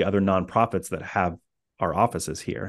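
Against a quiet background, an ordinary speaking voice with an American accent goes at a fairly quick pace. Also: man. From US Midwest (Indiana). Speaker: coffee shop and coworking space owner. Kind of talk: interview.

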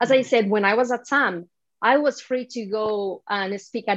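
This woman talks at a moderate pace in a medium pitch, with ordinary pitch variation. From Spain. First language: Spanish. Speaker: developer advocate. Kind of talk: interview.

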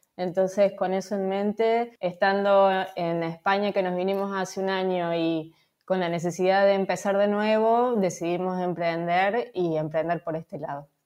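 Against a quiet background, a woman with an ordinary speaking voice talks at a moderate pace with fairly even intonation. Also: medium pitch for a woman. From Argentina, Córdoba. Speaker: marketing agency founder. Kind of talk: interview.

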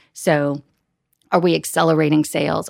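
A woman with an American accent speaks at a very deep, low pitch with vocal fry, her voice dry and close with no echo on a very clean recording against a silent background. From US Midwest. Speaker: corporate event manager. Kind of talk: interview.

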